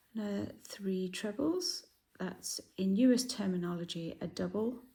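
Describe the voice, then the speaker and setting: A woman speaks at a fairly slow pace with a dark, mellow tone. Her voice is somewhat breathy, with ordinary pitch variation. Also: medium pitch for a woman. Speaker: crochet designer and author. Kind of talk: tutorial. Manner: hesitant, many fillers.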